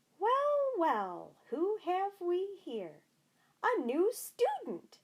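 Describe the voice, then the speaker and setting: A loud, squeaky, put-on character voice swings very widely in pitch. It moves at a very slow pace. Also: woman, extremely high pitch for a woman. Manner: jovial, welcoming.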